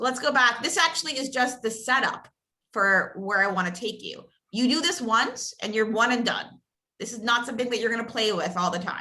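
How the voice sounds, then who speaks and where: A woman talks at a fairly quick pace in a fairly high pitch. Her pitch varies in an ordinary way. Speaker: real estate coach. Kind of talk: training session. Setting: video call. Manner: fast.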